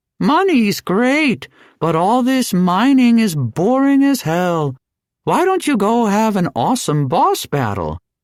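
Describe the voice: A put-on character voice, fairly high in pitch, with very wide pitch swings and a fairly slow pace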